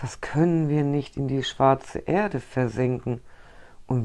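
A woman's very deep, low voice at a very slow pace over a quiet background. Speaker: storyteller. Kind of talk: reading a fairy tale aloud. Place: home room.

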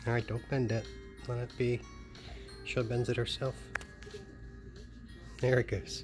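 A man's voice swings widely in loudness. Music plays clearly in the background. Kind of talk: casual home chat. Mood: warm, doting. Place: home room. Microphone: phone near.

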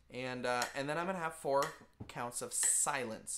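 A man is speaking with ordinary pitch variation. Noticeable background noise can be heard. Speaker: band teacher. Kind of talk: tutorial. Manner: casual. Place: office. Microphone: webcam.

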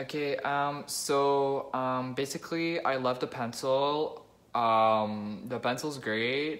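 A man talks at a very slow pace. His pitch varies in an ordinary way. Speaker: comedy sketch vlogger. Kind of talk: comedic sketch, mock vlog and testimonials. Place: home room. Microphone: phone near.

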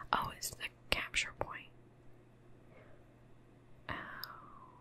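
Whispering in a relaxed tone, a woman speaks over noticeable background noise. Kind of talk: ASMR gaming commentary. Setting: home studio, desk mic. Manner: whispered; soft-spoken, relaxed.

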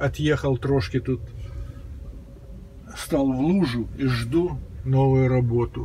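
A man with ordinary pitch variation over light background noise. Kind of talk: casual vlog chat. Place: car. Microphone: phone near.

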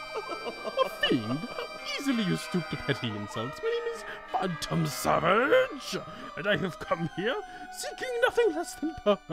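A put-on character voice talks at a moderate pace. Clear music plays in the background. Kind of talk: reading game dialogue in character voice. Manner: dramatic, haughty, menacing.

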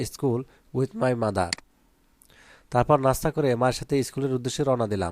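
In a normal speaking voice, a man talks at a medium pitch with ordinary pitch variation, the sound dry and close with no echo on a very clean recording with a silent background. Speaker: online English tutor for school pupils. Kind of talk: tutorial; sales pitch. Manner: casual, conversational.

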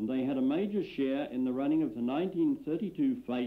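At a fairly slow pace, a man talks in a plain, everyday voice with ordinary pitch variation. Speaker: film narrator. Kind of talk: scripted archival film narration. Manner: measured, formal, dry-humoured.

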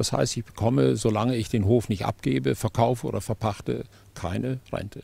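With a dark, mellow tone and vocal fry, a man speaks at a fairly low pitch and a fairly quick pace, his pitch swinging very widely, in a dry sound with no echo. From Germany. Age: 70s. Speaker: farmer. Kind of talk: interview. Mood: aggrieved, firm. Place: open country. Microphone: handheld.

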